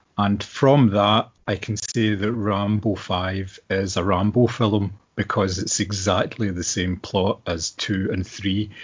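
Speaking with a Scottish accent, a man uses a fairly low, somewhat breathy voice in a monotone, flat intonation at a fairly slow pace with hardly any pauses. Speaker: podcast co-host. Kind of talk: casual chat.

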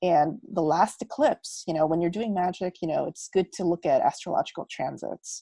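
A woman with a dark, mellow tone and an American accent, medium pitch, moderate pace, dry close sound with no echo and a quiet background. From United States. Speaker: magic practitioner and content creator. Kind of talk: casual interview. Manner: animated.

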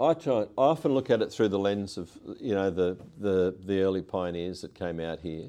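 With an Australian accent, this man has a fairly low pitch and a dark, mellow tone against a quiet background. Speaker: politician. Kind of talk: interview.

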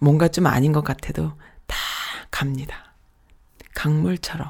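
A woman speaks in a very deep, low pitch, somewhat breathy. Her pace is fairly slow. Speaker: internet radio host. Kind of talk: casual radio talk with listener messages.

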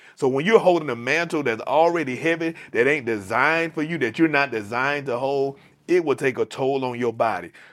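The delivery is animated and fairly quick, with ordinary pitch variation. The recording is very clean, with a silent background. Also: man, fairly high pitch for a man. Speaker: podcast host and pastor. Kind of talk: casual chat. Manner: animated, informal.

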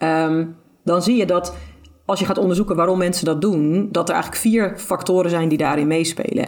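A woman speaks at a fairly quick pace with a fairly low pitch and ordinary pitch variation. It is a plain, everyday voice. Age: 30s. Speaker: intuitive eating expert. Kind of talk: podcast interview.

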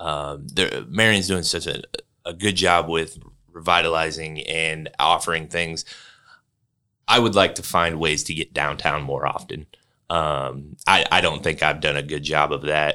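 A man speaks at a fairly slow pace in a very deep, low voice with a bright, sharp tone. The recording is very clean with a silent background, and his intonation stays fairly even. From western Illinois. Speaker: career center director. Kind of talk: interview.

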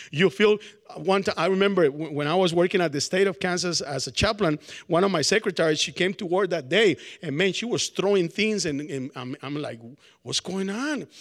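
With a Spanish accent, a man speaks at a fairly quick pace and a high pitch. His intonation is lively. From Colombia. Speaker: preacher. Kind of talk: sermon. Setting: college chapel with audience. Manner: casual, hesitant with fillers.

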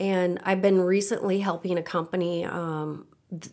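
A woman speaks at a medium pitch and a fairly slow pace. Her intonation is flat and monotone, with a Midwestern American accent. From Nebraska, US Midwest. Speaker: finance professional. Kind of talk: interview.

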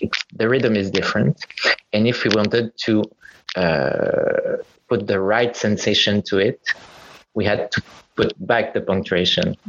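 A man at a fairly slow pace, with very even loudness and long, frequent pauses. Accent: Quebec. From Quebec, Montreal. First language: French. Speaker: playwright. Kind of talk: casual chat. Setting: video call. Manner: halting.

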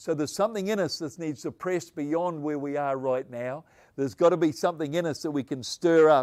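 A man's fairly high voice moves at a fairly quick pace, its pitch varying in an ordinary way. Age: 60s. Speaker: pastor. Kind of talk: sermon. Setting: online video message. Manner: animated.

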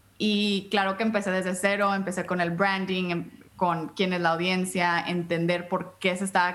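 Over noticeable background noise, a woman speaks fairly slowly in a flat monotone at a medium pitch. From US-Mexico border, Brownsville and Matamoros. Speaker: podcaster and patient advocate. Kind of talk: interview.

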